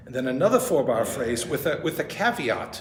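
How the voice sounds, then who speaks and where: A man talks at a moderate pace amid noticeable background noise, with audible room echo. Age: 70s. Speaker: pianist and music professor. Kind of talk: lecture. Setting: music store presentation with audience. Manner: casual, joking.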